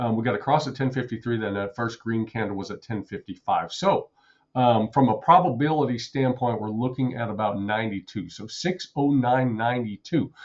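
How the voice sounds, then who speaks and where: The man's pitch is medium, with ordinary variation. He talks at a fairly quick pace. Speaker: day trader and trading educator. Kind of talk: live trading commentary. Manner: fast, auctioneer-like calling out of numbers; repetitive.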